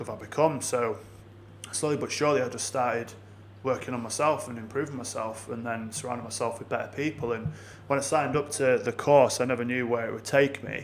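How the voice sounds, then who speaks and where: A man with a northern English accent, talking at a very fast pace. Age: 30s. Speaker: business consultant. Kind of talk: podcast interview. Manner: animated.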